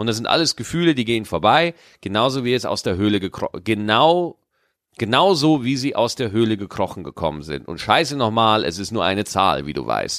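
Vocal fry and very wide pitch swings on a very clean recording with a silent background. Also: man, medium pitch for a man, fairly quick pace. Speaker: podcast co-host and touring comedian. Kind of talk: casual chat.

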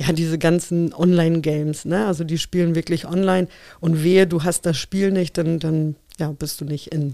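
This woman's voice is fairly low in pitch. She speaks with monotone, flat intonation. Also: moderate pace. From Poland (Upper Silesia), moved to Germany at 11. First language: Polish (speaking German). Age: 40s. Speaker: interview guest. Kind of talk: casual interview.

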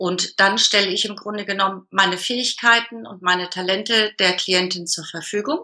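A woman's medium-pitched voice, bright and sharp, at a moderate pace with ordinary pitch variation. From northern Germany, Hamburg area. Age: 40s. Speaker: business coach. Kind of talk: interview.

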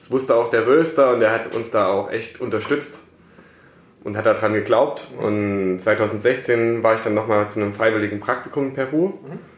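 A man talks at a moderate pace and medium pitch with ordinary pitch variation. His loudness swings widely, and room echo is audible. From Saxony, Germany (Plauen). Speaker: coffee importer, company co-founder. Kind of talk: casual interview. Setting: office.

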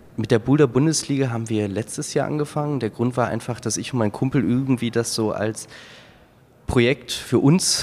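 Moderate-paced speech from a man with a plain, everyday voice, medium in pitch, with ordinary pitch variation. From Hamburg, northern Germany. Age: 30s. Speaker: amateur boulderer and engineer. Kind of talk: interview.

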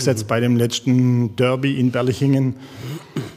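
With monotone, flat intonation, a man speaks at a moderate pace in a medium-pitched voice. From Jagst valley, northern Baden-Württemberg. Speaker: former footballer. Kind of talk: casual chat.

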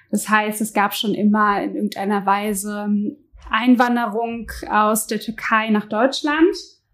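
Her pace fairly slow, a woman speaks at a fairly high pitch. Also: ordinary pitch variation. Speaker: podcast co-host. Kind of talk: conversational discussion. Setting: home kitchen with open window.

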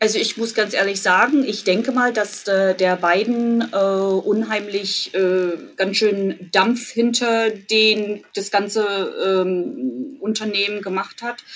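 At a very slow pace and hardly any pauses, a woman talks at medium pitch with ordinary pitch variation. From East Germany (Jena, Thuringia). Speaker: university employee abroad. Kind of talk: casual interview chat. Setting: remote call from her office.

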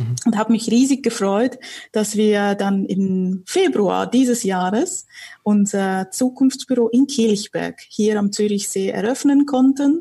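A woman's somewhat breathy, fairly high-pitched voice with a dark, mellow tone, at a very slow pace. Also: ordinary pitch variation. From Switzerland, Zurich area. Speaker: communications consultant and local community host. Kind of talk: casual interview conversation.

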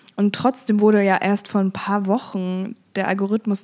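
A woman talks at a very slow pace in a medium pitch, captured in a very clean recording with a silent background. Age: 20s. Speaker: social media activist. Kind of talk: interview.

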